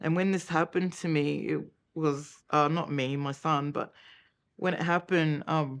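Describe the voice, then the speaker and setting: In a very clean recording with a silent background, a woman talks at a moderate pace in a very deep, low pitch and a monotone, flat intonation. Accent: Australian. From Australia, Cairns, Queensland. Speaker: mother of an abuse victim. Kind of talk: documentary interview testimony.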